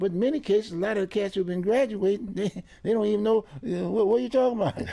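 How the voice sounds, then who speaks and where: A man with a high pitch and a dark, mellow tone at a very fast pace. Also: ordinary pitch variation. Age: 80s. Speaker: community political commentator. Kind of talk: casual interview chat. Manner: repetitive, stammering restarts.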